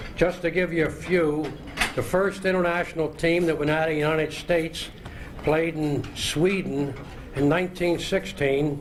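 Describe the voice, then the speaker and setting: Over noticeable background noise, a man with a Philadelphia accent speaks at a moderate pace in a fairly high voice. His intonation is monotone and flat, and his loudness stays very even. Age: 70s. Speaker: retired soccer player and coach. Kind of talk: acceptance speech.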